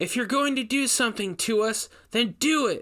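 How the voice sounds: In a put-on character voice, a man speaks at an extremely high pitch with a bright, sharp tone, lively intonation and a moderate pace, on a very clean recording with a silent background.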